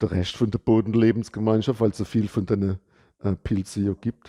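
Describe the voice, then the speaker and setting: A man's dark, mellow voice, dry and close with no echo, on a very clean recording with a silent background. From Palatinate, Germany. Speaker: soil ecologist. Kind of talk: casual educational talk to camera. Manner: casual, humorous.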